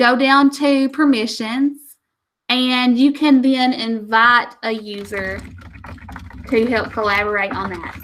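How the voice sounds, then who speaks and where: Here a woman uses an unremarkable speaking voice, fairly high in pitch with ordinary pitch variation. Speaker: teacher trainer. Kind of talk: tutorial.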